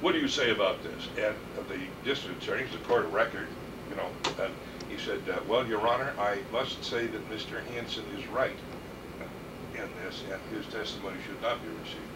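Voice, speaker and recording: A man with an American accent at a moderate pace, long and frequent pauses, and noticeable background noise. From San Francisco, California. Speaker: attorney. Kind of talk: oral history interview answer. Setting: office.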